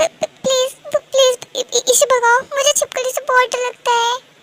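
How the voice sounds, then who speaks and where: A woman's put-on character voice at an extremely high pitch and moderate pace. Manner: stuttering in fear, pleading.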